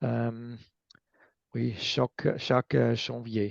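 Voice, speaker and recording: Speech in a non-native accent comes out at a very slow speed. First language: not French (speaking French). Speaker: recycling expert. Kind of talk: lecture. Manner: halting, many hesitations.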